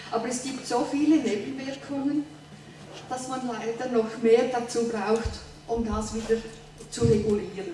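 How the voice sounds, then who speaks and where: A woman with a fairly high voice speaks at a moderate pace and with fairly even intonation, with audible room echo and noticeable background noise. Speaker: theatre performer, heart transplant patient. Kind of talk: answering questions on stage.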